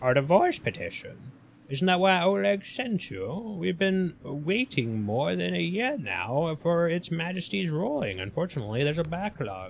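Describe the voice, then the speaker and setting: A man uses a put-on character voice with a fairly high pitch and very wide pitch swings. He speaks with hardly any pauses. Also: moderate pace. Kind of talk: game reading voice. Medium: game stream. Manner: sweet, polite, evasive.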